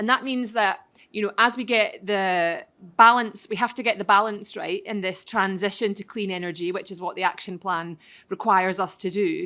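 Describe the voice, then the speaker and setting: A loud woman's voice with a bright, sharp tone at medium pitch, fairly even intonation and a moderate pace, on a very clean recording with a silent background. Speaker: member of parliament, panel speaker. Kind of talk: panel talk at a conference. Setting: conference hall with audience, microphone.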